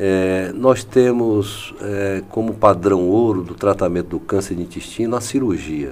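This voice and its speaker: A man speaks in a plain, everyday voice, fairly low in pitch, with ordinary pitch variation. His pace is fairly slow, yet he hardly pauses at all. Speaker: physician. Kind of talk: medical interview.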